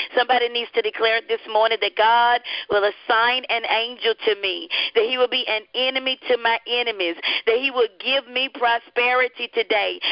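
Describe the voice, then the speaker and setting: Her voice high, a woman speaks with a Southern US accent. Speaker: radio host and evangelist. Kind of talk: radio devotional hosting. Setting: live radio broadcast.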